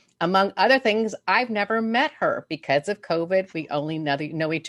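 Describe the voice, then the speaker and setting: A woman speaks in a normal speaking voice at a moderate pace with lively intonation. The sound is dry and close with no echo, over a quiet background. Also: hardly any pauses. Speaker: interviewer. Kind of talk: interview questions.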